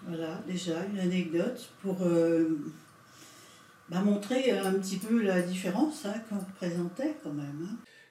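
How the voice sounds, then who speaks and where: A woman speaks fairly slowly with lively intonation. Audible room echo and noticeable background noise fill the recording. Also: medium pitch for a woman. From France (Paris region). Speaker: witness, daughter of Italian immigrant. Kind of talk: testimony. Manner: hesitant, conversational.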